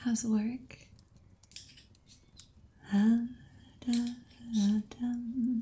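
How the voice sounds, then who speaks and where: A soft-spoken woman talks in a flat monotone, her tone dark and mellow. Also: fairly high pitch for a woman. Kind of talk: ASMR soft-spoken chat.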